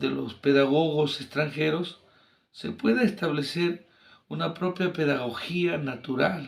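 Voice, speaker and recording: A man's fairly high-pitched voice, a normal speaking voice with ordinary pitch variation at a fairly slow pace. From Peru, Ancash region (Santa province). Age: 60s. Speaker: engineer and teacher. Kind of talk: interview.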